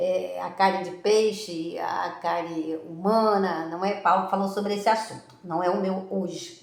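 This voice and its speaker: With hardly any pauses, a woman talks at a fairly slow pace against noticeable background noise. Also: medium pitch for a woman. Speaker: preacher. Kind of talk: sermon. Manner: animated.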